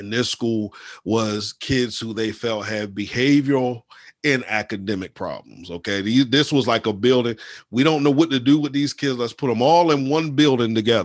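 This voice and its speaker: Over a quiet background, a man speaks at a medium pitch with an animated tone, ordinary pitch variation and a moderate pace. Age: 40s. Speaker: spiritual advisor and life coach. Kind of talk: casual chat.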